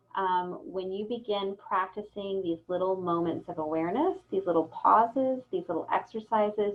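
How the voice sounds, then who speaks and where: A woman talks in an ordinary speaking voice, medium in pitch, with ordinary pitch variation. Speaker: presenter on compassion fatigue for cancer support staff. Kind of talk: lecture.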